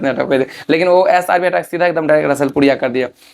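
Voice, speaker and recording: This man has an unremarkable speaking voice with fairly even intonation. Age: 20s. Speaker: folk singer. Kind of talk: interview. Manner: casual, repetitive.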